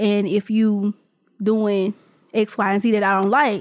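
On a very clean recording with a silent background and a dry, close sound with no echo, a woman with an unremarkable speaking voice talks at a moderate pace, with medium pitch and ordinary pitch variation. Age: 20s. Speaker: podcast host. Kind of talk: casual chat.

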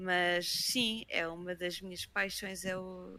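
Here is a woman's voice. Her tone is bright and sharp. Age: 20s. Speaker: Twitch streamer. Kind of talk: casual chat.

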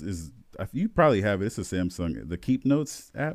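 Here is an unremarkable speaking voice: a man with an American accent and a fairly low pitch. He talks at a fairly quick pace, his intonation lively. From US Midwest, South Bend, Indiana. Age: 20s. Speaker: podcast co-host. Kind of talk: casual chat.

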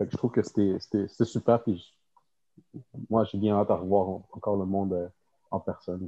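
In a dry, close sound with no echo, a man speaks with monotone, flat intonation at a moderate pace, leaving long, frequent pauses. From Quebec, South Shore. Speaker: occupational therapy student. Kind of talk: casual chat.

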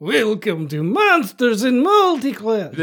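Putting on a character voice, a man talks fairly slowly at a high pitch, with very wide swings in pitch. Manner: spooky.

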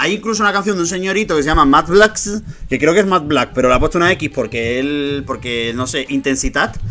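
A man with a fairly high pitch talks at a fairly quick pace with lively intonation and hardly any pauses, over noticeable background noise. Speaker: podcast host. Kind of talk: casual chat. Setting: video call.

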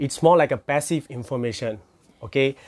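With a Malaysian accent, a man speaks at a medium pitch with fairly even intonation. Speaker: crypto educator. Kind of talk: informal lecture. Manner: casual, filler-heavy.

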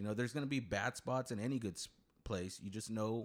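Very fast and full of lively intonation, a man with an American accent speaks at a medium pitch. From Coachella Valley, California. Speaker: podcast host. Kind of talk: casual chat.

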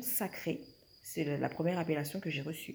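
A woman speaks at a moderate pace in a dark, mellow tone. Her voice is somewhat breathy. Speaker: spiritual wellness podcaster. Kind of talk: casual monologue.

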